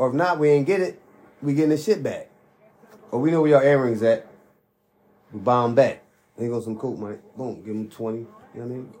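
A man's medium-pitched, slightly mellow voice at a fairly quick pace, with ordinary pitch variation, long, frequent pauses and audible room echo

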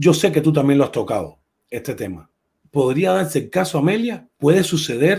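A man with vocal fry at a moderate pace. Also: fairly high pitch for a man, lively intonation. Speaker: livestream host. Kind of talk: casual chat. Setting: live stream.

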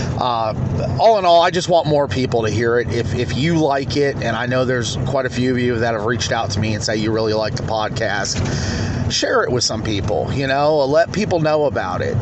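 Over noticeable background noise, a man of medium pitch speaks at a moderate pace. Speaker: true crime podcaster. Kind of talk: true-crime narration, reading case facts aloud in a flat, matter-of-fact report style; casual personal update to listeners. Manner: somewhat halting, with filler 'uh' and 'um'.

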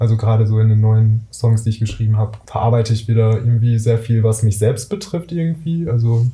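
A man talks at a fairly quick pace with hardly any pauses and very even loudness. His pitch is medium with ordinary variation, and noticeable background noise can be heard. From Ruhr area, Germany. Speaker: singer-songwriter. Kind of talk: casual chat.

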